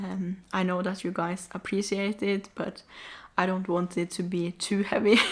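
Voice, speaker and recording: On a very clean recording with a silent background, a woman with a non-native accent speaks at a moderate pace, her medium pitch delivered in monotone, flat intonation. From Norway. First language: not English. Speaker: vlogger. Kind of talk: casual vlog talk to camera.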